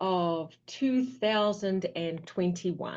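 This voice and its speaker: The woman has a slight New Zealand accent and ordinary pitch variation. The background is quiet. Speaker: physical therapy business owner. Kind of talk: interview.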